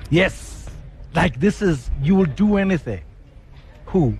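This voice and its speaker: With music playing in the background, a man speaks fairly slowly in an animated tone, his pitch high and his intonation lively. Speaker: radio host. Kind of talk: live radio broadcast, casual interview. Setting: outdoor broadcast at a restaurant.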